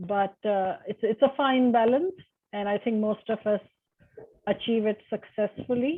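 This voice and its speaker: With a slight Indian accent, a woman speaks at a fairly slow pace in a fairly high pitch with ordinary pitch variation. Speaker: university lecturer. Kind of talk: panel discussion.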